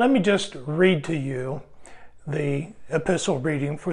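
Pitch varying in an ordinary way, a man talks at a very slow pace. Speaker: devotional video host. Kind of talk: sermon-like devotional talk to camera. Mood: warm, light laughter. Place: studio. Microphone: lapel.

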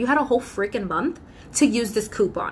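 Over light background noise, a woman sounds animated, with a bright, sharp tone, lively intonation and a fairly quick pace. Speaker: YouTuber and customer service worker; YouTuber. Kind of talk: casual vlog talk to camera. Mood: exasperated, sarcastic, animated. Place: home room. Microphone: phone near.

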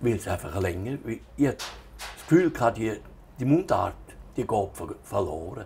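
A man's medium-pitched voice at a moderate pace, with very wide pitch swings, long, frequent pauses and light background noise. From Switzerland, Altstätten (St. Gallen Rheintal); Switzerland. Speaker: author; interviewee. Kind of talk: reading aloud; interview. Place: home room. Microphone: lapel.

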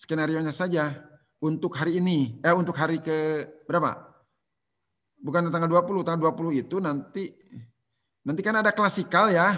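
With a bright, sharp tone and a high pitch, a man speaks in fairly even intonation, leaving long, frequent pauses. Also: moderate pace, quiet background. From West Java, Tasikmalaya; West Java. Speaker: civil service trainer. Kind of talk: online lecture. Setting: video call. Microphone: video call.

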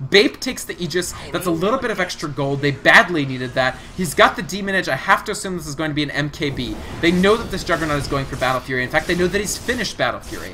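Against noticeable background noise, a high-pitched man races at a very fast pace with hardly any pauses and lively intonation. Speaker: esports caster. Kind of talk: live commentary. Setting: solo stream casting. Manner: animated.

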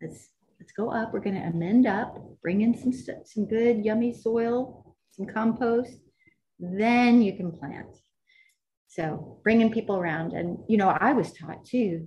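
A woman with an American accent speaks fairly slowly, her fairly high, somewhat breathy voice carrying a dark, mellow tone and big swings in loudness. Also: ordinary pitch variation. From Texas, Grand Prairie. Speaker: botanical garden conservation coordinator. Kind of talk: casual chat. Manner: animated.

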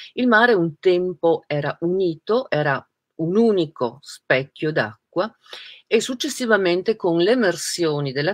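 A woman talks at a fairly slow pace in a fairly low pitch, her voice making very wide pitch swings over a quiet background. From Trieste, northeast Italy; Italy. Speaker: writer and interviewer; interviewer. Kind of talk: interview. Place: home room.

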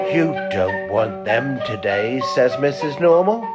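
Over music in the background, a man speaks at medium pitch in a gentle tone. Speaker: narrator. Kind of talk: children's story narration. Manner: gentle, slow storytelling.

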